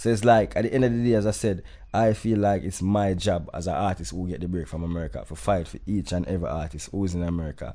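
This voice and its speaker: With a Jamaican accent, a man talks very fast in a very deep, low voice. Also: ordinary pitch variation. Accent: Jamaican patois-inflected English. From Jamaica, raised in New York. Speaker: dancehall artist. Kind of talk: casual interview chat.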